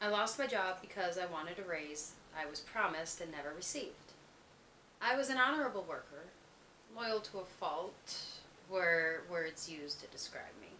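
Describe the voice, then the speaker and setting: Noticeable background noise sits behind a woman speaking. She talks at a moderate pace and a medium pitch. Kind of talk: personal letter reading.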